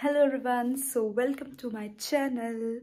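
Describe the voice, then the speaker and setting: With a dark, mellow tone, a woman delivers her words at a fairly slow pace. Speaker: vlogger. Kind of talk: casual vlog chat. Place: home room. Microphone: phone near.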